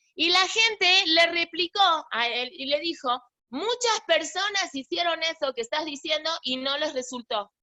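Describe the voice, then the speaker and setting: A woman with a high pitch raises and projects her voice, her tone bright and sharp. She speaks at a very slow pace with very wide pitch swings, and the sound is dry and close with no echo. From Argentina. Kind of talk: religious class. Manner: halting, many false starts.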